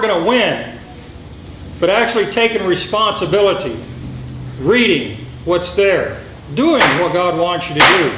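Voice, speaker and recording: A loud man with a high pitch and lively intonation is heard over noticeable background noise and audible room echo. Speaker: sheriff candidate. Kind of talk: campaign speech.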